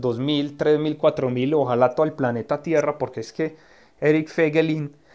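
A man with an ordinary speaking voice speaks in a fairly high pitch with ordinary variation, over a quiet background. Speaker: political scientist. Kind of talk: interview. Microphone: recorded on his cellphone, clean sound.

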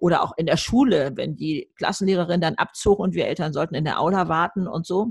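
Somewhat breathy, a woman talks at a fairly quick pace and medium pitch. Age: 70s. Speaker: YouTuber and author. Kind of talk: podcast interview.

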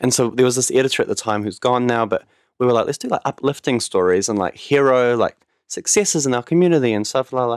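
A man with a New Zealand accent, medium pitch, very fast pace, and a dry, close sound with no echo on a very clean recording over a silent background. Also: ordinary pitch variation. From New Zealand, Auckland North Shore. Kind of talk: casual chat.

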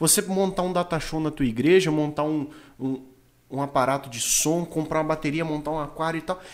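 An ordinary speaking voice from a man, fairly high in pitch, with fairly even intonation and a fairly quick pace. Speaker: podcast host. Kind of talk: casual chat.

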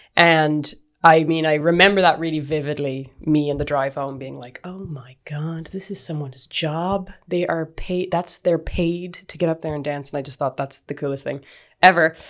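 A woman with a very deep, low pitch and an Irish accent, at a moderate pace, with fairly even intonation and big swings in loudness. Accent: Irish (Galway). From West of Ireland, County Galway. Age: 30s. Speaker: dancer and actor. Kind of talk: casual interview chat.

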